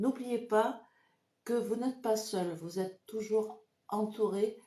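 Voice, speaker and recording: At a very slow pace, a woman with a fairly high pitch speaks in a dark, mellow tone. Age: 60s. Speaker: psychic. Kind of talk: live stream tutorial. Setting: live video stream. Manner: hesitant, many fillers.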